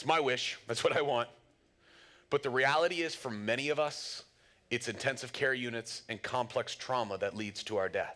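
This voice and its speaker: Bright and sharp in tone, a man speaks at medium pitch with ordinary pitch variation in a very clean recording with a silent background. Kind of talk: lecture. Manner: fast.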